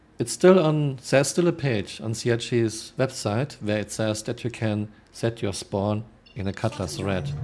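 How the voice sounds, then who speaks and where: With a German accent, this voice moves at a moderate pace with lively intonation. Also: man, medium pitch for a man. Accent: broad German. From Germany. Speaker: video game streamer. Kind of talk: casual live stream chat reading viewer comments.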